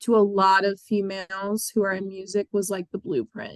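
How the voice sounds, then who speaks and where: Recorded with a dry, close sound and no echo, a woman at medium pitch speaks at a moderate pace with ordinary pitch variation. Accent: American. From Pennsylvania, Bucks County (Levittown). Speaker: singer-songwriter. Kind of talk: interview.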